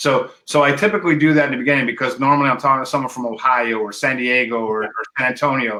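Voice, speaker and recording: A man with a medium-pitched, bright, sharp voice speaks very fast with ordinary pitch variation. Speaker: podcast host. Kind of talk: interview. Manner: halting, repeats words; loud.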